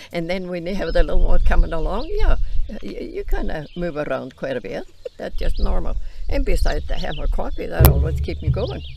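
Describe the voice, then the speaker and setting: A woman talks at a fairly quick pace with big swings in loudness, amid audible room echo and noticeable background noise. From Iceland. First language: Icelandic. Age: 90s. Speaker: grandmother interviewed on farm channel. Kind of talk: casual interview chat.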